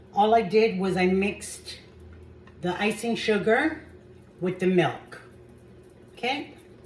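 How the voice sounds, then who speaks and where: Pausing long and often, a woman speaks at a very slow pace and medium pitch with ordinary pitch variation, and audible room echo surrounds her. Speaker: home cooking channel host. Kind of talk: cooking tutorial. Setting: home kitchen. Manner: hesitant, with fillers; soft-spoken.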